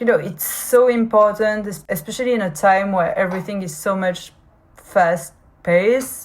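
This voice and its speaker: Speaking at a moderate pace with a strong French accent, a woman uses a medium pitch and ordinary pitch variation. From France. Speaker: podcaster. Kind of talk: personal podcast monologue. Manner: halting, frequent fillers and repetitions.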